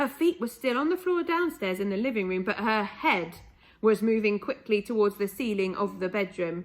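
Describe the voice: Someone does plain reading aloud, the intonation lively throughout.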